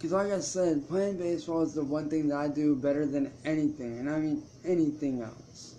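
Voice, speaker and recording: The voice has a dark, mellow tone and fairly even intonation, moving at a fairly quick pace with hardly any pauses. Light background noise is present. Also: man, fairly high pitch for a man. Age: 20s. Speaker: YouTuber and musician; YouTuber. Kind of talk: live stream monologue. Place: home room. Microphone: webcam.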